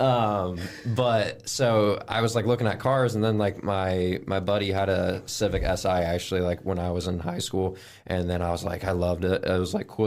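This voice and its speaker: At a moderate pace, a man talks in a very deep, low pitch with fairly even intonation. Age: 20s. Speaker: acquisitions specialist at a house flipping company. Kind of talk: interview. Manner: casual, filler-heavy speech.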